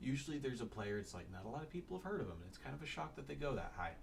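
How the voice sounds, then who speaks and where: A man talks in a medium pitch. Noticeable background noise and audible room echo are present. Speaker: sports draft analyst. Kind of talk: casual solo commentary. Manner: halting.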